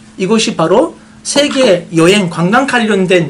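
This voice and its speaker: A speaker with a Turkish accent talks at a very slow pace. Noticeable background noise sits behind the voice. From Turkey. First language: Turkish (speaking Korean). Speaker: tourism marketing expert, honorary official. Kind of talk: press briefing talk. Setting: meeting with reporters. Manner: hesitant, many fillers.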